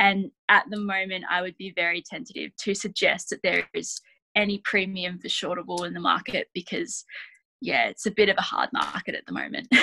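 A woman with a rural Australian accent at a moderate pace, big swings in loudness, and a dry, close sound with no echo. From Australia, western New South Wales. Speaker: sheep and wool specialist. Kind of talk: casual interview.

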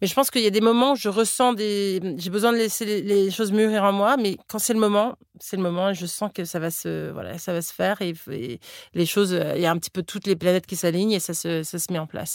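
A woman speaks at a fairly quick pace with a medium pitch and ordinary pitch variation, on a very clean recording with a silent background. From Florida, US. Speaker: cookbook author and entrepreneur. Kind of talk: interview. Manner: halting, with frequent repetitions and fillers.

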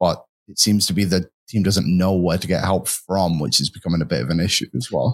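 A man with a very deep, low pitch and vocal fry talks at a fairly quick pace. The sound is dry and close with no echo, and his pitch varies in an ordinary way. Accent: English. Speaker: hockey show panelist. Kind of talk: casual sports talk show. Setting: studio.

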